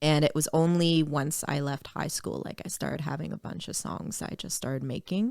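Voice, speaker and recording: A woman speaks with a Maritime Canadian accent in a very deep, low pitch, with vocal fry. She leaves hardly any pauses. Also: ordinary pitch variation, moderate pace. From Nova Scotia, Canada (Dartmouth). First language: French. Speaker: singer-songwriter and rapper. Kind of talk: casual podcast interview.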